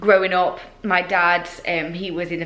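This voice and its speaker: In a Yorkshire accent, a woman speaks with monotone, flat intonation, and audible room echo surrounds her. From Yorkshire, northern England. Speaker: fitness competitor and vlogger. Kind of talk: casual Q&A vlog. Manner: chatty, with fillers.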